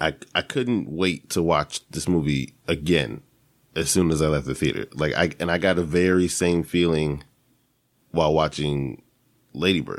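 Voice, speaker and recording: A man speaks with vocal fry in a very deep, low pitch on a very clean recording with a silent background. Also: ordinary pitch variation, moderate pace. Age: 20s. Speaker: podcast host. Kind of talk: casual movie review monologue. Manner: animated, many fillers and restarts.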